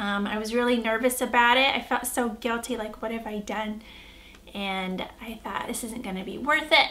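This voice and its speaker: A woman with an American accent, her pitch fairly high, with audible room echo. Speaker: vlogger. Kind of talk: casual vlog review.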